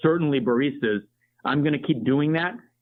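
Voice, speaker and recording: A man speaks in an ordinary speaking voice, fairly high in pitch, with ordinary pitch variation. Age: 60s. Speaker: coffee company project manager, former teacher. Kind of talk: interview conversation.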